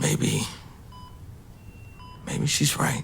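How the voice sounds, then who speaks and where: A man's raspy, put-on character voice, with sound effects and clear background noise behind it. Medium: audio drama. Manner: hesitant, stammering.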